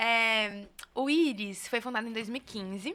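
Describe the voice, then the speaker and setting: Here, a woman speaks in a São Paulo accent. Her pitch is high, with ordinary pitch variation. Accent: São Paulo (paulista). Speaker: researcher, co-director of a digital rights institute. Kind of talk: podcast interview.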